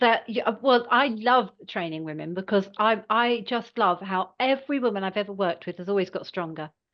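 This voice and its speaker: Using an ordinary speaking voice, a woman at medium pitch talks at a fairly quick pace with hardly any pauses and ordinary pitch variation. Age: 60s. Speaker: personal trainer and fitness tutor. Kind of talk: interview answer.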